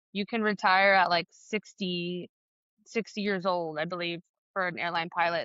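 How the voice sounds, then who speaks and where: In a dry, close sound with no echo and a quiet background, a woman with an American accent speaks at a moderate pace, her fairly low pitch in a monotone, flat intonation. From California. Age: 30s. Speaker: flight attendant and student pilot. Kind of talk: interview. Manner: casual, filler-heavy.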